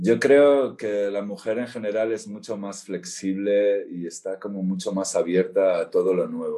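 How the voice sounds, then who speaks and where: The delivery is fairly slow. There are hardly any pauses. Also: man. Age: 50s. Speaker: therapist. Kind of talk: casual interview. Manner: halting.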